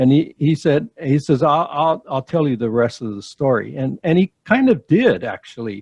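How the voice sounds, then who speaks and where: A man's fairly high, somewhat breathy voice with lively intonation, a moderate pace and a dry, close sound with no echo. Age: 70s. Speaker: church planter, pastor. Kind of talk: casual chat. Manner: halting, many fillers and repeats.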